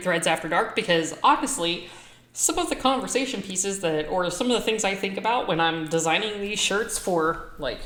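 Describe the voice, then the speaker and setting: This woman talks at a fairly quick pace with lively intonation and a medium pitch. Some room echo can be heard. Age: 40s. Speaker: vlogger and apparel shop owner. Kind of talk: casual vlog monologue. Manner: loud.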